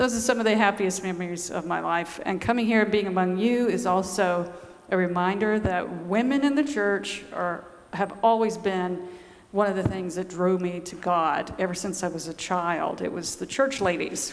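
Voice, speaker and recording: A woman with a Southern US accent speaks at a medium pitch and a moderate pace, with ordinary pitch variation. Noticeable background noise and audible room echo fill the recording. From US South, Georgia. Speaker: nun and author. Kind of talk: talk to a church audience.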